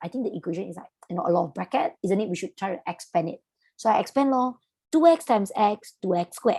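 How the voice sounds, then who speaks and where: A woman with a Malaysian accent speaks very fast at a medium pitch in a dark, mellow tone, with very wide pitch swings and big swings in loudness, the sound dry and close with no echo. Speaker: maths tutor. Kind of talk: online lesson, teaching to students. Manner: casual, chatty.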